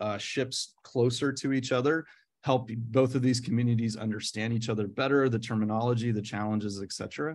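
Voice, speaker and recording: This man has a medium-pitched voice and a Midwestern accent, speaking at a fairly quick pace with fairly even intonation. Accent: American Midwestern. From US Midwest, Nebraska. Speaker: professor. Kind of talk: lecture. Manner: hesitant, many fillers.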